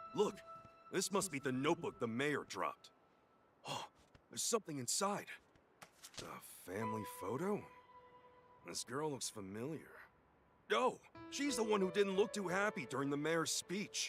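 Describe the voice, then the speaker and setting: Faint music plays in the background as a man uses a put-on character voice with a high pitch. He keeps a moderate pace with long, frequent pauses. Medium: video game. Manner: wisecracking, gruff.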